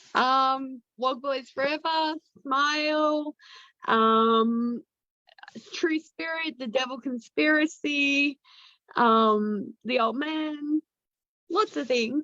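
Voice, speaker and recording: A woman speaks very slowly in a high, raised, projected voice with a bright, sharp tone and ordinary pitch variation. Long, frequent pauses break up her speech, and the sound is dry and close with no echo. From Australia. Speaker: actress. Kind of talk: casual chat. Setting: video call.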